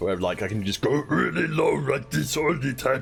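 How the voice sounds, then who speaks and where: Over clear music in the background, a man does a growling, put-on character voice at a medium pitch and a moderate pace. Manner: metal-style growl.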